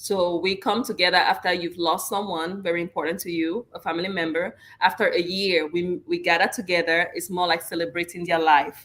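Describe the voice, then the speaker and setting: A woman with a French accent and a fairly low pitch, at a fairly quick pace with hardly any pauses and fairly even intonation. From Cameroon. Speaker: guest on interview show. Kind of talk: casual interview chat.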